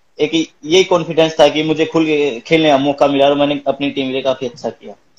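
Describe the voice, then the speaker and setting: Using an ordinary speaking voice, a man talks at a moderate pace with a fairly high pitch and fairly even intonation. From Bhiwani, Haryana, India. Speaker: professional kabaddi player. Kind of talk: interview answer.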